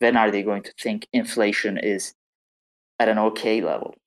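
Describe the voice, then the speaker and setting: The speech comes at a moderate pace. It carries a non-native accent. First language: not English. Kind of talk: casual chat. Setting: online audio room.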